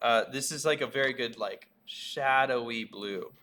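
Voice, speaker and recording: This man's tone is bright and sharp, his intonation fairly even. He talks at a fairly slow pace. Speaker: art teacher. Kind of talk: tutorial. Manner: casual, hesitant with fillers.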